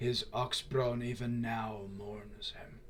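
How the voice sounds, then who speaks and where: A man uses a put-on character voice, rumbling at medium pitch. He talks at a very slow pace over clear background noise. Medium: actual play. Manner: formal, grave, measured.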